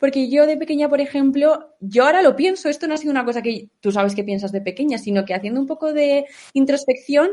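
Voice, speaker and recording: A woman talks fairly quickly in a high, dark and mellow voice. Her intonation is lively. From Aragon, Spain (Huesca). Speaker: content creator. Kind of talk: interview.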